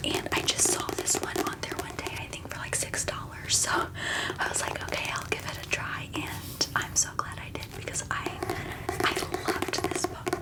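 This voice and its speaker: Whispered words from a woman at a moderate pace, noticeable background noise behind them. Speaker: ASMR creator. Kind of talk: ASMR book review, whispered talk to camera.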